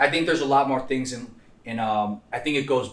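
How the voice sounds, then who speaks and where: The speech moves at a fairly quick pace with ordinary pitch variation. Audible room echo surrounds it. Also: man. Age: 20s. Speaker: podcast co-host, recovering addict. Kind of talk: casual chat.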